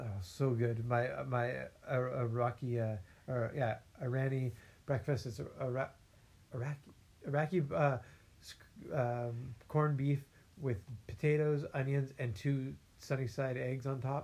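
A man with an American accent speaks at a medium pitch and a fairly slow pace, his intonation fairly even. His voice is somewhat breathy, with long, frequent pauses. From California. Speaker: podcast host. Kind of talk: casual chat.

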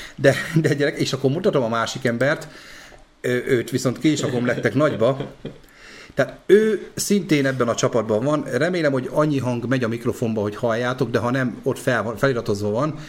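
Using a plain, everyday voice, a man of medium pitch talks at a fairly quick pace with ordinary pitch variation. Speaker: podcast host. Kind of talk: casual chat. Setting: live stream.

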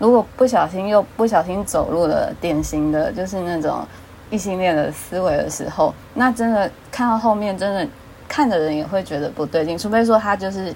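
A woman with a Taiwanese accent and lively intonation, noticeable background noise behind her. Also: medium pitch for a woman, moderate pace. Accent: Taiwanese Mandarin. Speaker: fan fiction writer. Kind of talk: casual chat.

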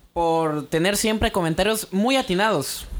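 This man talks at a fairly slow pace. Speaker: podcast co-host. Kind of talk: casual chat.

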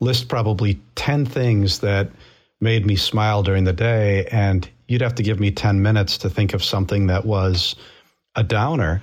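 A man speaks at a moderate pace in a fairly low pitch with ordinary pitch variation and a somewhat breathy voice, on a very clean recording with a silent background. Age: 50s. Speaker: runner and business leader. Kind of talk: interview.

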